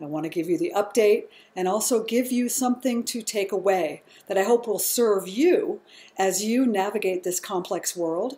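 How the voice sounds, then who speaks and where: Her tone dark and mellow, a woman speaks at a moderate pace. She uses a medium pitch with lively intonation. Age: 60s. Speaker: yoga teacher and nurse. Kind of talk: health talk to camera.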